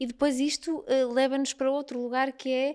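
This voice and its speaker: A woman speaks with a high pitch. The recording is very clean with a silent background and has a dry, close sound with no echo. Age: 40s. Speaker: nutritionist. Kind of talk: casual interview chat.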